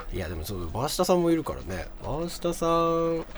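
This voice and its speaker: A man with an animated tone. His voice sits high in pitch. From Tohoku, Japan. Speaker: radio host. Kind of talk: casual chat.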